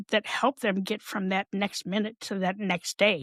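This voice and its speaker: A woman with an American accent in an ordinary speaking voice, medium in pitch and fairly slow in pace, with a dry, close sound and no echo. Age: 60s. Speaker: mental health advocate and podcaster. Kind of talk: interview.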